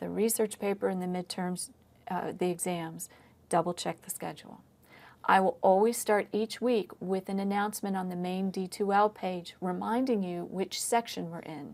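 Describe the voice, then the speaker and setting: Speaking in a normal speaking voice, a woman sits at a medium pitch. She holds a moderate pace, and her intonation stays fairly even. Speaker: history professor. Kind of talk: lecture. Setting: recorded online lecture.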